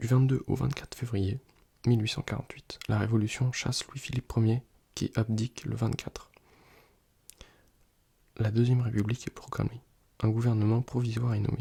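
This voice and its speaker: With a dark, mellow tone, a man speaks at medium pitch, somewhat breathy and relaxed, in a flat monotone broken by long, frequent pauses. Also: moderate pace. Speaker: student who makes ASMR videos. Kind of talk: ASMR soft-spoken study session, casual talk to camera. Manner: soft-spoken, relaxed, sometimes whispering.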